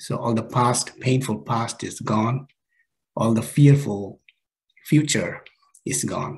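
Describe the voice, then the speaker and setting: Over a quiet background, a man speaks at a very slow pace with ordinary pitch variation. His voice is somewhat breathy. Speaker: presenter. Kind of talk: lecture. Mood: calm, gentle. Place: home room. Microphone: video call.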